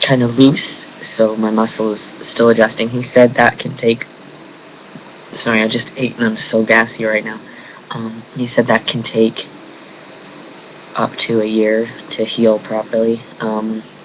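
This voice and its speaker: A man speaks fairly slowly in a flat, monotone way, leaving long, frequent pauses. Background noise is noticeable. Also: medium pitch for a man. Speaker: vlogger. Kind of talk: casual vlog. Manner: speaks through teeth, mumbling.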